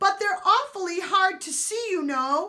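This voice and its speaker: This woman uses a put-on character voice that is squeaky and extremely high-pitched. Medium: read story.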